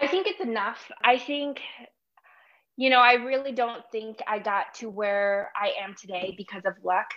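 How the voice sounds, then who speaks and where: A woman with an American accent has an unremarkable speaking voice, fairly high in pitch with ordinary pitch variation. She talks at a fairly slow pace, her loudness swinging widely. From Chicago, Illinois. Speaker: medical student. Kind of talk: interview.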